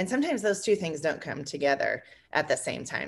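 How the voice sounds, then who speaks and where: A woman speaks with a US Midwestern accent against a quiet background. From Indiana, US Midwest. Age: 30s. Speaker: small business co-owner. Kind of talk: podcast interview.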